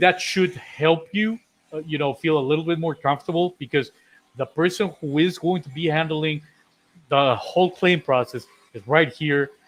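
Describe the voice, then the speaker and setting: With an unremarkable speaking voice, a man talks at a moderate pace, his pitch fairly high and varying in an ordinary way. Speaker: co-host of a contractor insurance live show. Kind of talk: casual live-stream chat.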